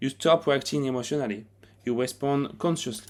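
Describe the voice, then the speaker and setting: A man with a French accent speaks in a fairly even intonation on a very clean recording with a silent background. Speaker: self-help video narrator. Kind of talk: narrated explainer video; channel outro.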